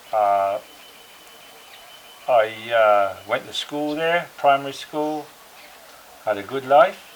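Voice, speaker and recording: A man's very slow speech at medium pitch, with lively intonation, long, frequent pauses, and noticeable background noise. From England (Somerset). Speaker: war veteran. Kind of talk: interview, personal recollections. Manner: hesitant, many fillers.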